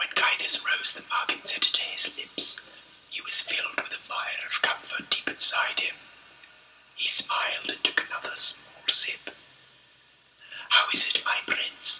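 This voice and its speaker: A man whispers at a fairly slow pace, with long, frequent pauses and big swings in loudness. Noticeable background noise runs underneath. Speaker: author reading his own book. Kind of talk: ASMR audiobook read-through of fantasy novel. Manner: whispered, soft.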